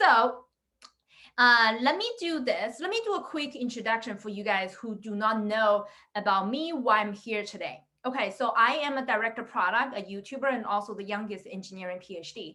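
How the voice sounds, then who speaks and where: With a non-native accent, a woman talks at a moderate pace in a fairly high, bright, sharp voice, with ordinary pitch variation and big swings in loudness. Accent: foreign accent in English. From immigrant to the US, non-native English speaker. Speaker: product director and career coach. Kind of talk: webinar talk. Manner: animated, filler-heavy.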